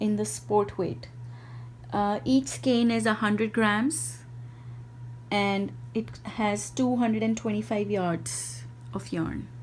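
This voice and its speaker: Somewhat breathy, the voice moves at a very slow pace in an Indian accent. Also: woman. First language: Hindi. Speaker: indie yarn dyer and craft video maker. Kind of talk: product showcase. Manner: halting, with fillers.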